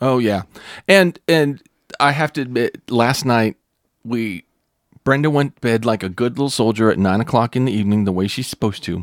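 With an American accent, a man speaks at a fairly quick pace and medium pitch with ordinary pitch variation, in a very clean recording with a silent background and a dry, close sound with no echo. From Northern US. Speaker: pastor and podcast host. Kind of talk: casual chat. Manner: animated.

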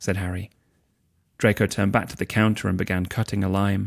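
A man's fairly low voice races along at a very fast pace on a very clean recording with a silent background. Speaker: husband reading for the host. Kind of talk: audiobook-style reading aloud of fan fiction, narration with quoted character dialogue. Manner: measured, expressive storyteller pacing; shifts to emotional, voiced dialogue for characters.

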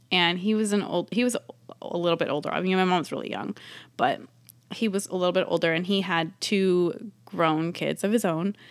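Recorded very cleanly against a silent background, a normal speaking voice with an American accent moves at a moderate pace with fairly even intonation. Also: woman, medium pitch for a woman. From US West Coast, San Francisco East Bay. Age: 30s. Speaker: mother sharing personal story. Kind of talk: personal testimony.

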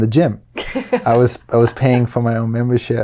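In a Danish accent, the speaker delivers a dark, mellow tone at a moderate pace with fairly even intonation. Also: man. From Denmark and Luxembourg. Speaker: qigong teacher and personal trainer. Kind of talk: interview. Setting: studio.

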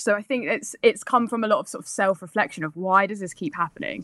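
A London accent in a dry, close sound with no echo. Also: woman, very clean recording, silent background. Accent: southern English (London). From England. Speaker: actor and filmmaker. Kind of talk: interview.

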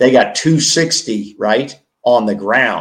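The man's pitch sits in the medium range with ordinary variation. He speaks at a very slow pace. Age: 70s. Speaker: sports podcast co-host. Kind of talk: casual sports talk, post-game reaction. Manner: talkative, opinionated, conversational.

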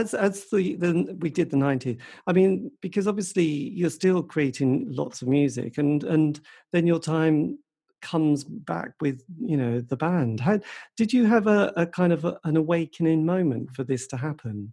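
The voice has a dark, mellow tone and very wide pitch swings against a quiet background. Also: man, fairly high pitch for a man, moderate pace. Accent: English. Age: 50s. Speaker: podcast host. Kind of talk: casual interview.

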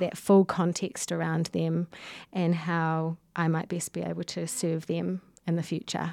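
With a New Zealand accent, a woman speaks at a fairly slow pace in a fairly low, dark, mellow tone, captured in a very clean recording with a silent background. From New Zealand, Whanganui. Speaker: visual artist and gallery co-director. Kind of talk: casual chat. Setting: studio.

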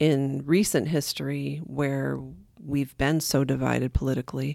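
Delivered at a moderate pace, the speech comes through on a very clean recording against a silent background. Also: woman. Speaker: pastor's wife, church member. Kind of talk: casual conversation.

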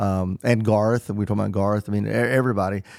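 Fairly quick speech from a man with an unremarkable speaking voice, fairly low pitch and ordinary pitch variation, dry and close with no echo, on a very clean recording with a silent background. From Southern Illinois. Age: 50s. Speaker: touring musician. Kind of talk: interview.

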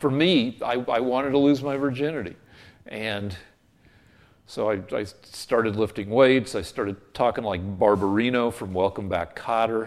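A man with an American accent and a normal speaking voice talks at medium pitch and moderate pace, on a very clean recording with a silent background. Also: ordinary pitch variation. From Colorado. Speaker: TV comedy writer. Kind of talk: interview.

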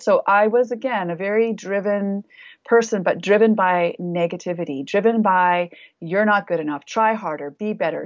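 In an ordinary speaking voice, a woman talks at a moderate pace and medium pitch, with ordinary pitch variation. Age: 50s. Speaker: naturopathic doctor. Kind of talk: casual interview. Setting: video call.

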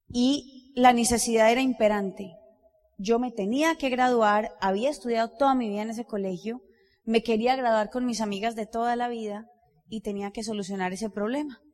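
With a plain, everyday voice, a woman talks at a moderate pace, her fairly high pitch carried by fairly even intonation. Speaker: business leader. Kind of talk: motivational talk.

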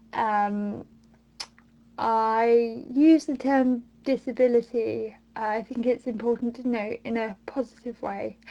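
Fairly high-pitched female speech in a British accent, very slow, with fairly even intonation and a dark, mellow tone. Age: 20s. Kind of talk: recorded monologue answers.

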